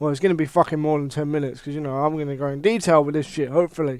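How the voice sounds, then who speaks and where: In a British accent, a man talks with an animated tone. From UK. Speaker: wrestling commentator YouTuber. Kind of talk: casual rant. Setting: home recording with headset.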